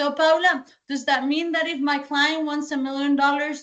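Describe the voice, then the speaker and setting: This woman has a slight Colombian accent. Her pitch is high. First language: Spanish. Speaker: sales trainer. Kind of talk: training session.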